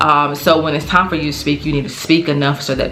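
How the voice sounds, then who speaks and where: A woman mumbles amid noticeable background noise. The room echo is audible. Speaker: teacher, lifestyle vlogger. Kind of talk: casual advice monologue. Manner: tends to mumble.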